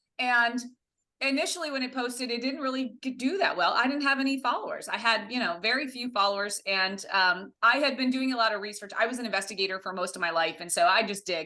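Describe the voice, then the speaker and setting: This woman talks very fast with an American accent and a fairly high pitch. Her intonation is lively. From US Midwest, Ohio near Windsor. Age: 50s. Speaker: social media content creator. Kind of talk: podcast interview.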